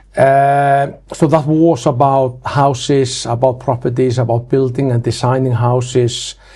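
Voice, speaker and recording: A man's fairly high, somewhat breathy voice with a dark, mellow tone and an Icelandic accent, at a fairly slow pace. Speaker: building inspector, franchise owner. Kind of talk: interview. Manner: hesitant, many fillers.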